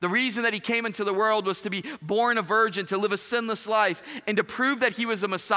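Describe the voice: The intonation stays fairly even. This is a case of plain reading aloud.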